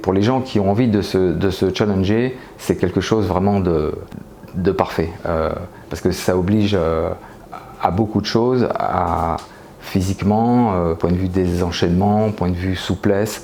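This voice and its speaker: A man talks at a fairly slow pace with a very deep, low pitch. His intonation stays fairly even against noticeable background noise. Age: 60s. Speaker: pole dance student. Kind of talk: interview. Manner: halting, many hesitations.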